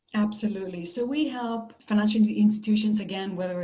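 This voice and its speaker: Through audible room echo and noticeable background noise, a woman with an American accent speaks at a moderate pace. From Israel. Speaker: marketing executive. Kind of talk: interview.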